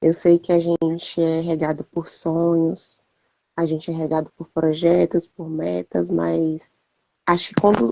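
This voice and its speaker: The woman's pitch sits fairly low and her pace is fairly slow. Her intonation stays monotone and flat. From Brazil, Brasília. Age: 40s. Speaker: civil servant. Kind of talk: interview testimony.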